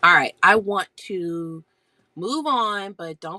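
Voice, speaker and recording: Dry and close with no echo, a woman's bright, sharp voice carries vocal fry and ordinary pitch variation. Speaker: homeschool educator and live-stream seller. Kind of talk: casual live-stream chat. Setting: home basement, live stream. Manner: hushed, quiet.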